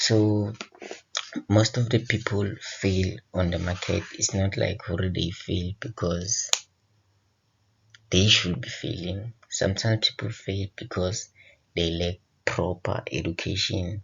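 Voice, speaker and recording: The speaker has an Eswatini accent and talks at a very slow pace. The intonation is fairly even, with long, frequent pauses. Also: man, fairly low pitch for a man. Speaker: forex trading educator. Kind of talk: tutorial. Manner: casual.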